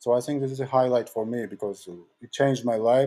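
A man with a Georgian accent at medium pitch, dark and mellow in tone, with fairly even intonation and a fairly quick pace. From Georgia (country). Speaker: talent manager and music producer. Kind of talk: interview.

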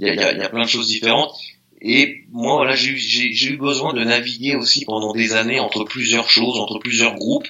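With noticeable background noise behind him, a man holds a moderate pace, a medium pitch and fairly even intonation. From France, Meaux (Seine-et-Marne, east of Paris). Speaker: DJ and graffiti artist. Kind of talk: casual interview chat.

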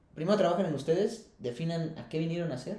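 A man talks very fast in a fairly high pitch. Audible room echo surrounds his voice. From Mexico, Querétaro. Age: 30s. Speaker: environmental consultant. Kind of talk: casual interview chat.

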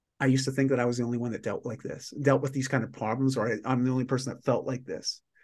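Over a quiet background, someone speaks with a Canadian accent. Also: man. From Canada. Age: 40s. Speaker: lifestyle mentor and performance coach. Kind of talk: casual interview.

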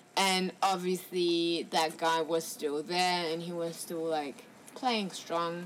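The woman speaks very slowly at a fairly low pitch. Her intonation stays fairly even. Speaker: travel podcast co-host. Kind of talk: casual chat. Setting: in a van by the beach, rain outside.

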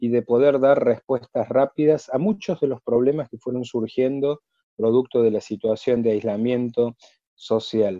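A man in an ordinary speaking voice, medium in pitch with ordinary pitch variation, at a fairly slow pace. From Argentina, Córdoba. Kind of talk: interview.

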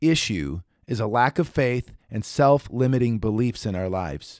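Recorded in a dry, close sound with no echo, a man with a medium pitch speaks at a moderate pace in an animated tone with very wide pitch swings. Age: 40s. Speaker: motivational podcast host. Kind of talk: motivational talk.

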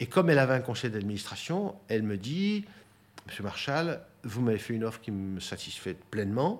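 A man with an unremarkable speaking voice, medium in pitch, with lively intonation. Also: moderate pace. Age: 60s. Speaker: property development executive. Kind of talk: interview testimony.

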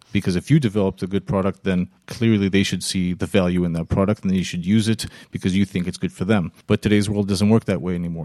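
Very fast and fairly even in intonation, a man talks with an American accent in a fairly low pitch and a dark, mellow tone. The recording is very clean with a silent background, and the sound is dry and close with no echo. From Israel, partly raised in the US. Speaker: keynote speaker, marketing expert. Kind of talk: interview. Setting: improvised studio at a startup festival.

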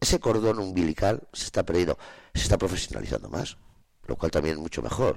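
A man speaks at a fairly quick pace. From Spain, Soria province. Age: 50s. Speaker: farmer. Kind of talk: radio interview. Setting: studio.

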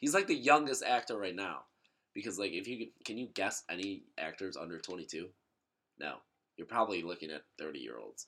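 A man speaks fairly quickly in a fairly low voice with a bright, sharp tone and vocal fry. His pitch swings very widely and his loudness rises and falls in big swings. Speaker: podcast host. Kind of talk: casual chat. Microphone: laptop mic, poor sound quality.

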